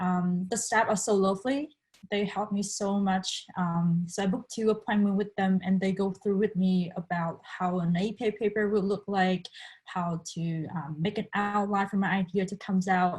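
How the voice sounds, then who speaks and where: A woman speaks at a medium pitch and a moderate pace, with a Vietnamese accent. Her voice is somewhat breathy, and her intonation is fairly even. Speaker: international student. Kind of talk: panel discussion.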